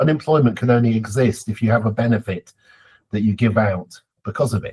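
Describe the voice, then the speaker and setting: Fairly quick and somewhat breathy, this voice carries a British accent, with fairly even intonation and a dry, close sound with no echo. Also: man. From Britain. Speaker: geography professor. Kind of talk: podcast interview.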